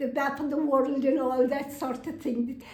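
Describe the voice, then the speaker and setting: With a dark, mellow tone, a woman speaks at a high pitch amid audible room echo. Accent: Kerry. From Ireland, County Kerry (Sneem). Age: 80s+. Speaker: housing resident telling her life story. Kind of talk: personal testimony interview. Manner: halting, with fillers.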